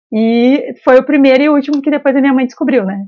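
The voice belongs to a woman and sits high in pitch. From Rio Grande do Sul interior, Brazil. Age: 30s. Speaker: football fan, podcast guest. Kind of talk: casual chat. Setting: podcast interview. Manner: animated.

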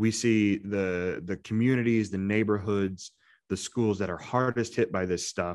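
Over a quiet background, a man with an American accent and an ordinary speaking voice talks at fairly low pitch and a moderate pace, his intonation fairly even. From Indiana. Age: 30s. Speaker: podcast co-host, small business lender. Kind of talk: casual chat.

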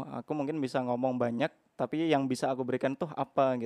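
At a very fast pace, a man talks in a flat monotone at a medium pitch, his tone dark and mellow in a dry, close recording with no echo. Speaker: university student. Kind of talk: casual chat.

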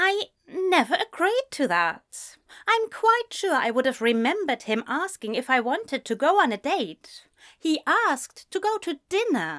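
Using a put-on character voice, a woman speaks high and fairly bright at a fairly slow pace with big pitch swings.

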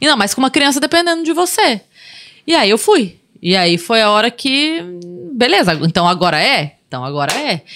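Her fairly high, bright, sharp voice swings very widely in pitch and shows vocal fry as this woman speaks at a moderate pace in a very clean recording with a silent background. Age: 40s. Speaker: comedian. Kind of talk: casual chat. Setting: studio.

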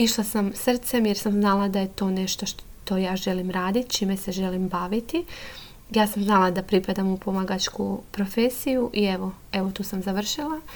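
A woman speaks at a moderate pace. Her voice sits at medium pitch with ordinary pitch variation. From Croatia, Lošinj island. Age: 30s. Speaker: psychotherapist. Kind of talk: podcast monologue.

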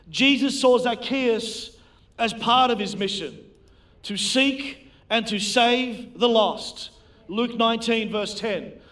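Here a man speaks at an extremely high pitch, his tone bright and sharp, with fairly even intonation. His pace is very slow, and audible room echo surrounds him. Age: 40s. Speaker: preacher. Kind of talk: sermon.

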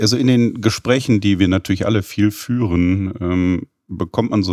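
An unremarkable speaking voice from a man, fairly low in pitch with ordinary pitch variation, fairly slow, in a dry, close sound with no echo and a very clean recording with a silent background. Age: 50s. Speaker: podcast host, business development director. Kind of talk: interview.

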